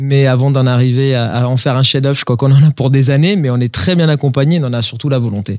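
Hardly pausing, a man rattles along at a very fast pace. He sits at a medium pitch with fairly even intonation. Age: 40s. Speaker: industrial company CEO. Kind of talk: interview. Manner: halting, repeats words.

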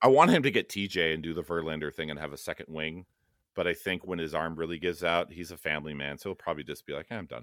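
In a very clean recording with a silent background, a man with an American accent speaks at a very fast pace and a very deep, low pitch, with ordinary pitch variation. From Los Angeles, US West Coast. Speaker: app developer and card collector. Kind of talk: casual chat.

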